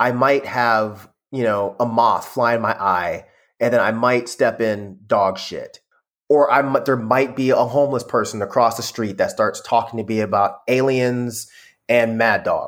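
A man with an American accent has a plain, everyday voice, medium in pitch and fairly even in intonation, at a fairly slow pace. The recording is very clean, with a silent background. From US South, Georgia (Conyers), earlier California. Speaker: music critic and YouTuber. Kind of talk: casual chat.

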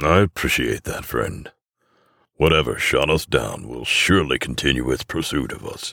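Putting on a character voice, a man speaks at a moderate pace with an extremely low pitch, vocal fry, a bright, sharp tone and lively intonation.

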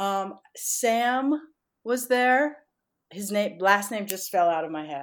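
A woman talks at a very slow pace with lively intonation and big swings in loudness, in a very clean recording with a silent background. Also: medium pitch for a woman. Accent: American. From US Northeast (Connecticut). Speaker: dancer and choreographer. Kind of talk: interview.

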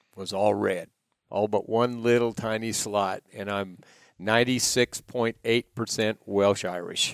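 In a dry, close sound with no echo, a man talks at a very slow pace with a fairly low pitch and monotone, flat intonation. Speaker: ranch owner or employer. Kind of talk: casual storytelling.

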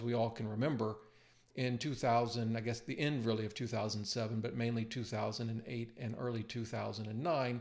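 An unremarkable speaking voice from a man, at a moderate pace and a medium pitch. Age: 50s. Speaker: personal finance YouTuber and author. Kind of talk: screen-share tutorial. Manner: casual with frequent fillers and repetitions.

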